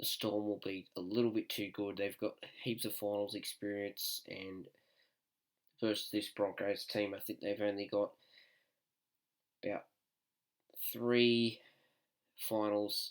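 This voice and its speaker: A man with an Australian accent speaks at a fairly slow pace, with long, frequent pauses. His fairly low voice stays monotone and flat. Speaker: sports tipster YouTuber. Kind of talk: casual sports predictions. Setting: at home, others asleep. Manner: soft-spoken.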